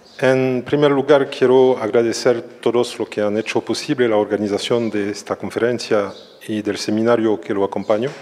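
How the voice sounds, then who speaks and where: At a moderate pace, a man speaks with a medium-pitched voice and fairly even intonation. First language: French (speaking Spanish). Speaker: social psychology professor. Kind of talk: lecture. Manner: careful, non-fluent Spanish.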